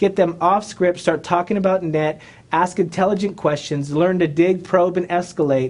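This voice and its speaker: A man's high-pitched voice with very even loudness and fairly even intonation. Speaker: real estate trainer. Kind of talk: educational video monologue. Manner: fast.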